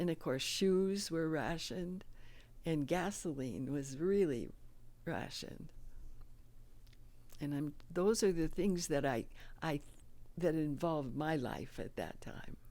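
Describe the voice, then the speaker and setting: With a dark, mellow tone and a very deep, low pitch, a woman speaks at a fairly slow pace, leaving long, frequent pauses, her pitch varying in an ordinary way. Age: 80s+. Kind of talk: interview answer, personal memories. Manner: slow, hesitant.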